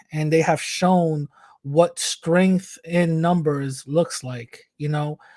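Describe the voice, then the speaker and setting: Speaking at a fairly slow pace in a New York accent, a man uses a fairly high pitch and monotone, flat intonation. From New York, the Bronx. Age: 30s. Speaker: activist. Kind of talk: interview. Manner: halting.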